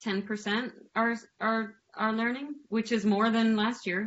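Using a normal speaking voice, a woman talks at a fairly slow pace. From Canada. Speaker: artist. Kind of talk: panel discussion.

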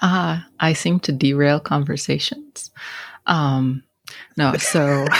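In an American accent, the voice moves at a very slow pace with long, frequent pauses and ordinary pitch variation. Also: woman, very deep, low pitch for a woman. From western Montana, St. Ignatius. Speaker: college instructor. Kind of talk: casual group discussion.

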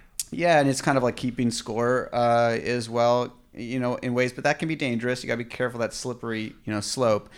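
An unremarkable speaking voice from a man at medium pitch, with fairly even intonation. He moves at a fairly quick pace with hardly any pauses. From Orange County, California. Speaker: entrepreneur. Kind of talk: interview. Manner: casual, laughs often.

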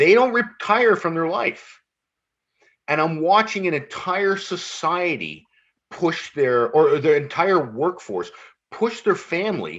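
A man with a Canadian accent and a high pitch, over a quiet background. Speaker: firefighter and mental health advocate. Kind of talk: casual chat. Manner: fast.

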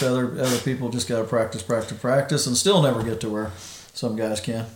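Noticeable background noise and audible room echo around a man speaking with fairly even intonation. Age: 50s. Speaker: golfer and podcast guest. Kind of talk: casual chat.

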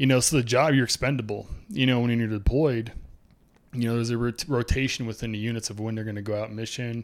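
On a very clean recording with a silent background, a man talks at a very fast pace in a medium pitch with fairly even intonation. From Boise, Idaho, US. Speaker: student and army veteran. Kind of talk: casual chat. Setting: studio, sharing one microphone.

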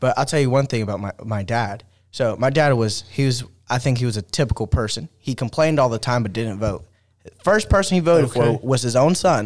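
This man has an ordinary speaking voice with medium pitch. He talks at a moderate pace with lively intonation. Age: 20s. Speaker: city councilman, podcast guest. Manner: casual, frequent filler words.

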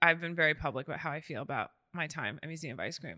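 Recorded dry and close with no echo against a quiet background, a woman with an American accent speaks at a very deep, low pitch in a bright, sharp tone. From New York City, Brooklyn. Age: 30s. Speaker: agency founder. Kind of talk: casual chat.

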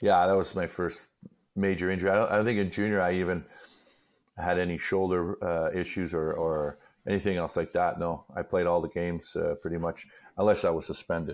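A man with a Montreal accent, very deep, low pitch, monotone, flat intonation and a fairly quick pace. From Montreal, Quebec. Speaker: retired hockey player and commentator. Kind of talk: casual chat.

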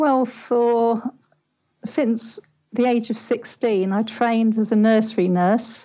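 A woman speaks at a very slow pace in a fairly high voice, her loudness very even and her intonation fairly even. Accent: British. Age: 60s. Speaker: parenting life coach. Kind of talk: interview.

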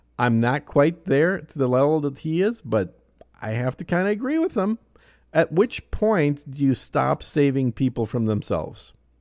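With a Minnesota accent, a man speaks at a moderate pace and fairly high pitch with lively intonation, in a very clean recording with a silent background. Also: dry, close sound with no echo. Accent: Minnesota Midwestern. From Minnesota, Twin Cities suburbs. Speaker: podcast host. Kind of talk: casual interview chat.

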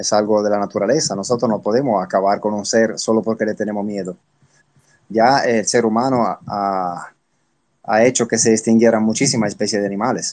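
A man with an ordinary speaking voice, fairly low in pitch, at a fairly quick pace with fairly even intonation, against a quiet background. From Italy. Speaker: spider expert. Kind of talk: interview.

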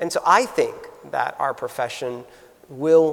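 A man speaks at a moderate pace with an American accent. Noticeable background noise can be heard. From US, South Florida. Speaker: nursing school dean. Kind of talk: interview before live audience. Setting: stage with audience.

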